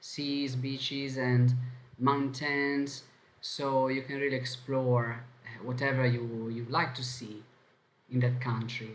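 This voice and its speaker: Very slow, somewhat breathy speech in a strong Italian accent, monotone and flat, with long, frequent pauses and audible room echo. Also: man. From Italy. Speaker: language teacher. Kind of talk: online lesson.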